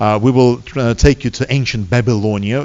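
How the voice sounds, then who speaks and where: A man speaks with a Russian accent. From Soviet Union. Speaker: seminar lecturer. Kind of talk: public seminar lecture. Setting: hall with live audience. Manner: fast; hesitant with many fillers.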